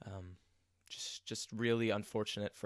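A very clean recording with a silent background captures a man's fairly low pitch and fairly even intonation. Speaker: sports podcast host. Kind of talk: solo sports podcast monologue. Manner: frequent filler words and hesitations.

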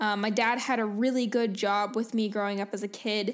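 A woman talks in an ordinary speaking voice, pitched fairly high. Her intonation stays fairly even. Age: 20s. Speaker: podcast host and fitness coach. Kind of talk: casual solo monologue.

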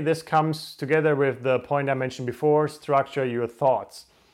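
On a very clean recording with a silent background, a man with a fairly high pitch speaks at a moderate pace. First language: not English. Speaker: podcast host. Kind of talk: solo motivational monologue to camera. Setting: home recording in front of camera. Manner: trying to sound energized.

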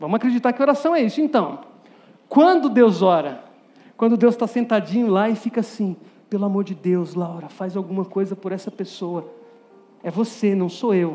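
A man with a high pitch and lively intonation speaks at a moderate pace, leaving long, frequent pauses. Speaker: preacher. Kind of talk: sermon to a youth audience, with direct appeals, Bible exposition and a closing prayer. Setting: stage with audience.

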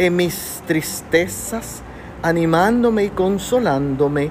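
A woman with a medium pitch speaks over music in the background. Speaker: devotional speaker. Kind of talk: devotional.

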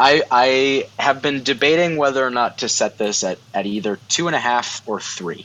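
A man talks in a normal speaking voice at medium pitch with ordinary pitch variation. He keeps a moderate pace with hardly any pauses. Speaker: guest host. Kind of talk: casual chat.

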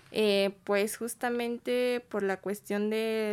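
Intonation stays fairly even throughout. The recording is very clean, with a silent background. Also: woman. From State of Mexico. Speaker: migrant shelter volunteer. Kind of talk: interview. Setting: studio.

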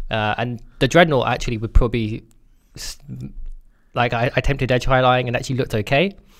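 At a very fast pace broken by long, frequent pauses, a man with a British accent speaks at medium pitch with ordinary pitch variation. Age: 20s. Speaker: podcast co-host. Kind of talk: casual chat.

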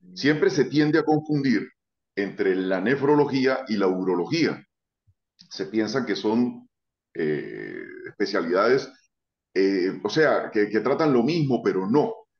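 At a very slow pace with long, frequent pauses, a man with a medium pitch uses lively intonation. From Venezuela, Táchira. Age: 40s. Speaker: urologist. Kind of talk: casual interview.

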